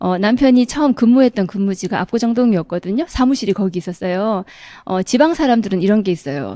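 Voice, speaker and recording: Her intonation is lively and her pitch fairly high. The woman's voice sounds dry and close, with no echo. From South Korea, Daegu (Gyeongsang). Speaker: direct sales distributor. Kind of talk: motivational seminar talk.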